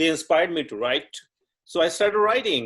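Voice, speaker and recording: A man speaks with a Punjabi accent. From Punjab, India. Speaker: dancer and writer. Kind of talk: interview. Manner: halting.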